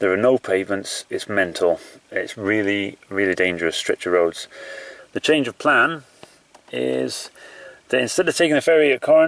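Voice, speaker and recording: Speech in a Yorkshire accent at a moderate pace, over noticeable background noise. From Yorkshire, northern England. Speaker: endurance runner, video diarist. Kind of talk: video diary. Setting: outdoors. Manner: casual, hesitant with fillers.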